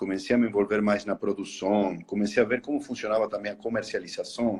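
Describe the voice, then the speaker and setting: Over a quiet background, a man with a strong Spanish accent talks with ordinary pitch variation. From Argentina, Buenos Aires. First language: Spanish (speaking Portuguese). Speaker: horror attraction entrepreneur. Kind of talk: interview in a live stream. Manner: halting.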